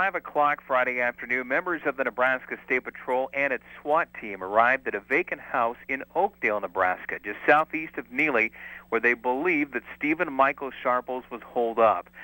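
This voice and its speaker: A man talks at a moderate pace with hardly any pauses, in an unremarkable speaking voice. His pitch is medium, with ordinary pitch variation. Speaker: TV news reporter. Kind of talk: TV news package narration.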